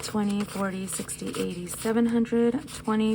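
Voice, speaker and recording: There is noticeable background noise as a woman talks. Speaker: nurse and budgeting vlogger. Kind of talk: casual budgeting vlog. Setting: at home. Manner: speaking louder than usual.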